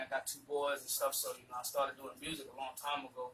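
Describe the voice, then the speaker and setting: With a South Carolina Lowcountry accent, a man speaks very fast in a fairly high voice. Noticeable background noise runs behind him. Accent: Southern US, South Carolina low country. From South Carolina, Georgetown area (low country). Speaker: rapper. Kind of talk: casual interview chat.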